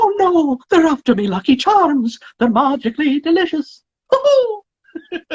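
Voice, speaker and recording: High-pitched put-on character voice with very wide pitch swings, at a fairly slow pace. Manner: cheerful, playful.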